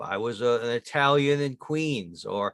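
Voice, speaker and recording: Speaking very slowly, a man talks with an American accent. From upstate New York mill town. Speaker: author. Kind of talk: interview.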